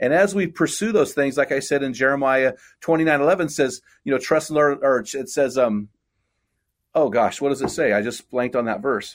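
Talking at a fairly quick pace, a man with a fairly high pitch and ordinary pitch variation has an unremarkable speaking voice, captured in a very clean recording with a silent background. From California central coast. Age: 50s. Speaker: men's ministry leader and author. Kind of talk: casual interview.

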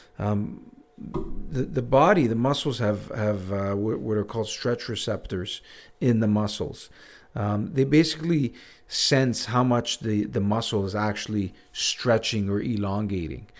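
With a plain, everyday voice, a man speaks at a fairly slow pace in a fairly low pitch with ordinary pitch variation. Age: 40s. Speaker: physiotherapist. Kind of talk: casual chat.

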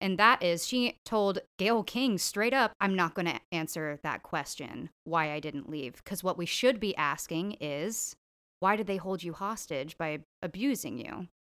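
This voice has a bright, sharp tone and lively intonation, moving at a fairly slow pace. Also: woman, medium pitch for a woman, very clean recording, silent background. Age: 20s. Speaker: guest co-host. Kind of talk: casual chat; public service announcement.

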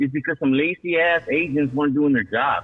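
A man is speaking. He goes at a very fast pace. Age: 40s. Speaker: caller. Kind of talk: phone call-in. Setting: phone call.

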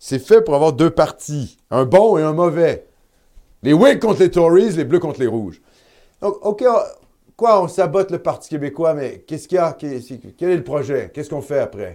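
At a moderate pace, a man with a fairly high voice and a dark, mellow tone speaks with lively intonation and big swings in loudness, in a very clean recording with a silent background. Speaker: web TV host. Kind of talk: live election-night commentary.

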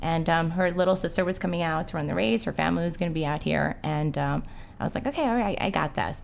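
Speaking very fast, a woman with fairly low pitch and vocal fry uses lively intonation. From Uruguay, moved to US at six. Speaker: amateur marathon runner. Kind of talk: casual chat.

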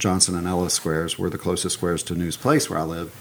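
A man's very deep, low voice, with ordinary pitch movement, goes at a fairly quick pace through noticeable background noise. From Alabama, US South. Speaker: real estate broker and owner. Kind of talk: casual interview chat.

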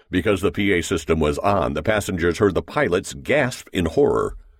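With vocal fry in his voice, a man speaks at a moderate pace on a very clean recording with a silent background. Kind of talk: audiobook narration; dramatic narration. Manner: tense, dramatic, building suspense; formal, measured.

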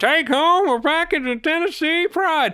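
A put-on character voice pitched high comes at a moderate pace. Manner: folksy, chirpy.

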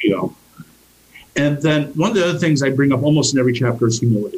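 A man's somewhat breathy voice at a very fast pace, with ordinary pitch variation. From US, army family, moved around. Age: 50s. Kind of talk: interview.

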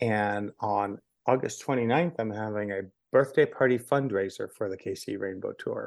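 Over a quiet background, a man with a plain, everyday voice speaks in a medium pitch at a moderate pace, with ordinary pitch variation. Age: 50s. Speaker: LGBTQ history tour curator and storyteller. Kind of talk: casual chat.

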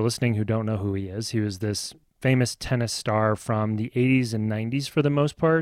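A man with a Midwestern American accent at a fairly quick pace, with fairly even intonation, in a dry, close sound with no echo and a very clean recording with a silent background. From US Midwest (Nebraska). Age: middle-aged. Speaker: podcast co-host, father. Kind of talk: casual chat.

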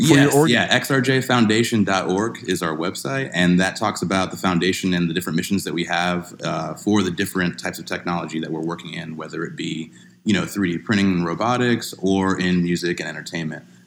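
A man with an American accent, very deep and low in pitch, at a fairly quick pace with hardly any pauses. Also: ordinary pitch variation. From Florida (Kissimmee). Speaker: music producer, foundation founder. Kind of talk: casual chat.

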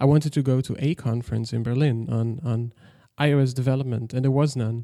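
Speaking with a Dutch accent, a man at medium pitch shows ordinary pitch variation. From Netherlands, village near German border. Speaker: software developer, company founder. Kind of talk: interview conversation. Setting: remote call, early morning.

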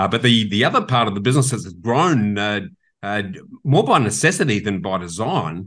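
A man with a fairly low voice and an Australian accent speaks at a moderate pace with lively intonation over a quiet background. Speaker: property investment expert and podcast host. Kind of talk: casual interview. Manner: passionate.

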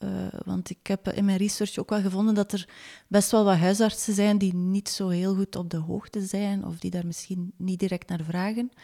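A woman's medium-pitched voice at a moderate pace, fairly even in intonation, in a dry, close sound with no echo. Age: 40s. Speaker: magazine editor and author. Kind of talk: interview. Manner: hesitant, many filler sounds.

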